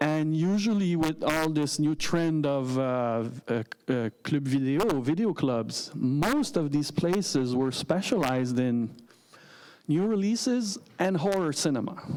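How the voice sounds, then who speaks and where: With a Quebec French accent, a man speaks fairly slowly at a fairly high pitch with lively intonation. His loudness stays very even, and the room echo is audible. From Quebec, Montreal suburbs. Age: 40s. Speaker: filmmaker. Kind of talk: interview. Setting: stage with audience.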